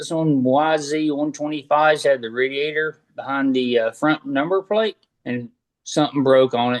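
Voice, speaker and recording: A man with a Southern US accent at a moderate pace, ordinary pitch variation, and a dry, close sound with no echo. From North Carolina, US South. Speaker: motocross mechanic. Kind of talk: casual interview chat.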